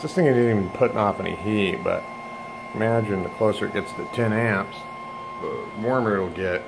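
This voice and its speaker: Over noticeable background noise, a man speaks fairly quickly at a fairly low pitch. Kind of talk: casual demo commentary. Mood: pleased, relaxed. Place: home room. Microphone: phone near.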